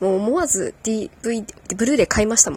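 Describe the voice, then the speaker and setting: Woman with a fairly high pitch and lively intonation, over noticeable background noise. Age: 30s. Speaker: podcast host. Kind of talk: casual solo talk about a hobby. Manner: laughing often; unsteady delivery.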